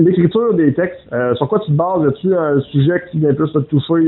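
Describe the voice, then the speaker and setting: A man in a Quebec accent, fairly quick in pace, with ordinary pitch variation. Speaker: interviewer. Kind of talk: interview.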